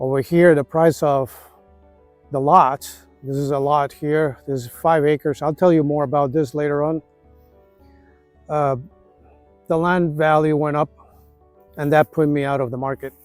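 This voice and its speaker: Music plays behind a man whose monotone, flat delivery sits at a fairly high pitch, moving at a moderate pace with long, frequent pauses in a dry, close sound with no echo. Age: 60s. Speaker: retirement vlogger. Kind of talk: casual vlog monologue. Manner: halting.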